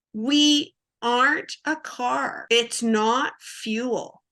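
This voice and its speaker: A woman speaks in an animated tone, her high-pitched voice bright and sharp. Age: 60s. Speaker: oxalate diet coach. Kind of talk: interview.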